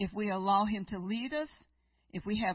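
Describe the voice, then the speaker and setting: A woman talks in a medium pitch. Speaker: guest preacher. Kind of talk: sermon. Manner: unhurried.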